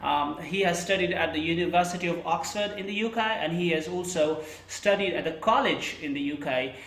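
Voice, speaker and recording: A man with an American accent speaks at a fairly quick pace in a high pitch, with ordinary pitch variation. Audible room echo and noticeable background noise fill the recording. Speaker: interviewer and English teacher. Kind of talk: interview.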